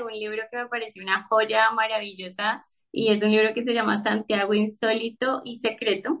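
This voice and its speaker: In a normal speaking voice, a woman speaks fairly slowly at a fairly high pitch. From Colombia, Bogotá. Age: 30s. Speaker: book Instagram creator. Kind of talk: casual chat.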